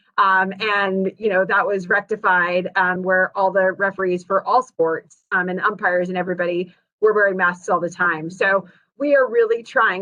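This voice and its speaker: A woman's bright, sharp voice in a flat monotone. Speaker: school sports association official. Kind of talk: virtual town hall presentation. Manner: fast.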